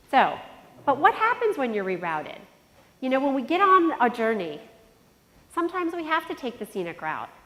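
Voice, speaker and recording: Noticeable background noise behind a high-pitched woman, fairly quick speech broken by long, frequent pauses, and very wide pitch swings. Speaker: conference speaker. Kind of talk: motivational talk. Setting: stage with audience. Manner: energetic.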